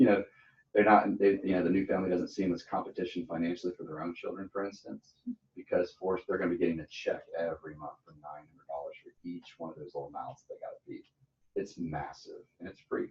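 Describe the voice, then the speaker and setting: A man speaks at a very fast pace. His loudness swings in big ways. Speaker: insurance sales trainer. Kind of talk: training session. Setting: office meeting, streamed.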